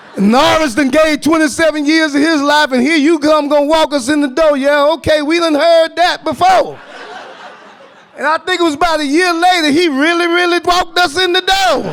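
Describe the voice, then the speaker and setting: In a Southern US accent, a man speaks at a moderate pace with an extremely high pitch and an animated tone. Noticeable background noise is present. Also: very even loudness. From US South. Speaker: activist, formerly incarcerated advocate. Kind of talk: panel talk. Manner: animated, storytelling.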